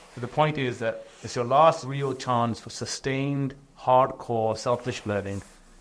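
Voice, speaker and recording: With a British accent, a man speaks fairly slowly at a medium pitch, his intonation fairly even. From England. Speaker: entrepreneur and author. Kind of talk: interview.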